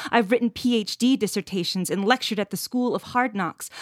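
A woman with a Canadian accent uses a normal speaking voice at a moderate pace with ordinary pitch variation. The recording is very clean, with a silent background. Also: dry, close sound with no echo. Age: 30s. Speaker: poet and activist. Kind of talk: interview, reading poetry aloud.

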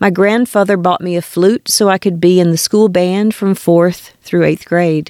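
Speaking at a moderate pace in an unremarkable speaking voice, a woman with an American accent has a fairly low pitch and ordinary pitch variation, in a dry, close sound with no echo. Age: 60s. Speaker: podcast host. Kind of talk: scripted narration.

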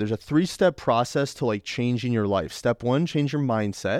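In a plain, everyday voice of medium pitch, a man talks at a moderate pace with lively intonation, the sound dry and close with no echo on a very clean recording with a silent background. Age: 20s. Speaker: podcast host and fitness coach. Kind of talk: casual monologue.

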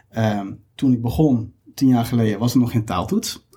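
A somewhat breathy, dark, mellow voice at a moderate pace with ordinary pitch variation. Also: man. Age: 30s. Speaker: recruiter. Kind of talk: interview.

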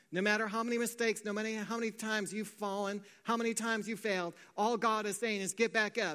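A man speaks in a raised, projected voice at a very fast pace. His tone is bright and sharp, his intonation fairly even. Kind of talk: sermon. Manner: earnest, rising preacher's cadence, declaring and exhorting.

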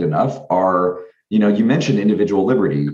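Over audible room echo, a man with a fairly low pitch talks at a very fast pace with lively intonation. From US, Washington State. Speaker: civic organization founder. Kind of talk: interview. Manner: repeats words, filler-heavy.

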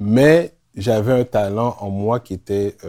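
Recorded very cleanly with a silent background, a man speaks in a dark, mellow tone. His pitch is fairly low, with ordinary pitch variation. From Quebec, Montréal-Nord. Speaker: teacher and basketball association president. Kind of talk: interview.

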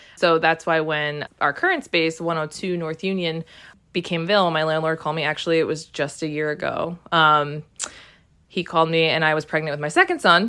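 A woman with an American accent speaks at a fairly quick pace in a monotone, flat way. Her tone is bright and sharp, and the recording is very clean with a silent background. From New Jersey (Cranford). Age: 30s. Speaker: shop owner. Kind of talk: interview. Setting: on location. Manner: hesitant with many fillers.

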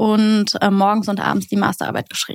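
A woman speaks in a fairly high pitch with monotone, flat intonation, captured in a very clean recording with a silent background and a dry, close sound with no echo. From Berlin, Germany. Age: 20s. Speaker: teacher. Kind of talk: casual interview.

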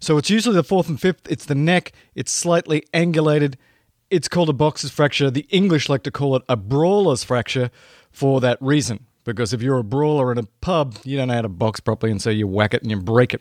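Speaking with an Australian accent, a man talks at a fairly quick pace, with a fairly high pitch and lively intonation. The sound is dry and close with no echo, and the recording is very clean with a silent background. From rural Australia. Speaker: emergency medicine podcast host. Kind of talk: educational podcast monologue. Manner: animated.

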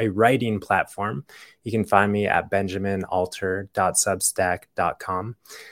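A man speaks in a normal speaking voice at a fairly slow pace, with a fairly low pitch and fairly even intonation. The recording is very clean, with a silent background. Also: dry, close sound with no echo. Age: 30s. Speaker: naturopathic doctor, podcast host. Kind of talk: solo health podcast talk. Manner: casual, with frequent fillers and restarts.

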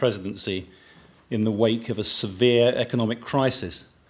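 This man has an unremarkable speaking voice, medium in pitch, with fairly even intonation at a moderate pace. The recording is very clean, with a silent background. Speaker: event host. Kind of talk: formal stage introduction. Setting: stage with audience.

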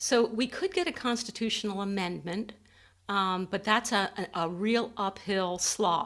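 This is a woman with a plain, everyday voice at a medium pitch. She speaks at a fairly slow pace with fairly even intonation, on a very clean recording with a silent background. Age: 60s. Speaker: podcast host. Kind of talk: interview.

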